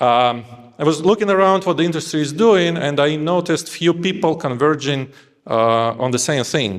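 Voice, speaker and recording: A man speaks with a non-native accent and lively intonation. His pace is moderate. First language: not English. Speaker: engineering lead. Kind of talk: conference talk.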